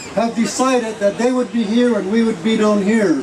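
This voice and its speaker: Noticeable background noise runs underneath. Over it, a man keeps a moderate pace. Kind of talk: rally speech, storytelling with spiritual prophecy. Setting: outdoor rally with audience. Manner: earnest, sermon-like, long flowing sentences. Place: street. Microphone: podium.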